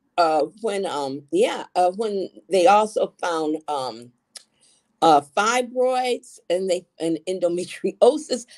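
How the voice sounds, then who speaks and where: Over a quiet background, a woman with an American accent speaks at a very slow pace with very wide pitch swings. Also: medium pitch for a woman. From Ann Arbor, Michigan, US Midwest; Michigan. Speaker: gossip columnist and author; interview guest. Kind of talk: interview; interview answer. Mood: chatty storytelling. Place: home room. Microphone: video call.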